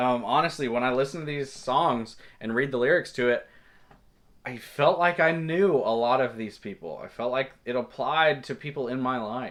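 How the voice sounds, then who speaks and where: A man at a moderate pace with a Southern US accent. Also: medium pitch for a man, ordinary pitch variation. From Kentucky, small town. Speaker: music reviewer. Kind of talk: album review monologue. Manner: halting, many fillers.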